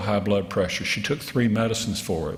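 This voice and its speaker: A somewhat breathy man with a Southern US accent, audible room echo around him. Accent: southern drawl. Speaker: physician and health policy researcher. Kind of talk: keynote lecture. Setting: conference stage with audience.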